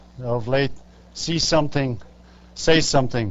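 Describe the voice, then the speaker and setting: Fairly high male speech at a moderate speed, the room echoing audibly, pitch varying in an ordinary way. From Ireland. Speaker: public commenter at hearing. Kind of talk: public hearing testimony. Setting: public hearing before county legislature. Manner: hesitant, many fillers.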